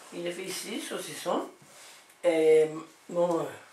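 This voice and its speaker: Noticeable background noise and audible room echo surround a woman speaking at a very slow pace with a fairly low pitch. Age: 70s. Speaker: farmer. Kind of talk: interview.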